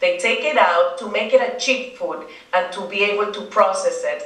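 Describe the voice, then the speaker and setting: Noticeable background noise and audible room echo fill the recording. Through them, a woman speaks in a Spanish accent. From Dominican Republic. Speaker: children's book author. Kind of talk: interview. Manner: halting.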